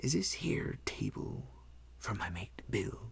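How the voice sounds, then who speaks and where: A man puts on a character voice, talking fairly slowly at a very deep, low pitch. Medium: read story. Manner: wheedling, leering.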